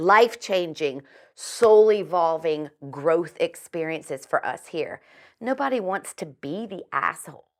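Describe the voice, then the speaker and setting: An animated, fairly slow delivery in a Southern US accent, with lively intonation. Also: woman, very clean recording, silent background. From US South (Virginia). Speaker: chiropractor and metaphysical healer, author. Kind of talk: interview.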